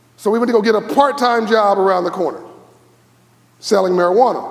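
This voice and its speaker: In an animated tone, a man with an American accent talks at a high pitch with ordinary pitch variation, with audible room echo and noticeable background noise. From Los Angeles, US. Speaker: keynote speaker. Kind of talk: keynote speech. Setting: stage with audience. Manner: fast.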